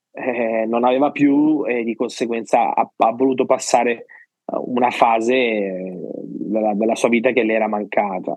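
A man speaks with a normal speaking voice at medium pitch. His pace is moderate and his intonation fairly even. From Sicily, province of Palermo. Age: 30s. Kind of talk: testimony.

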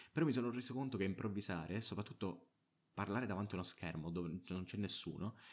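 A man talks at a fairly quick pace with lively intonation and a fairly low pitch. He has an ordinary speaking voice. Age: 20s. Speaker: podcaster. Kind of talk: casual monologue. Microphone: own good microphone.

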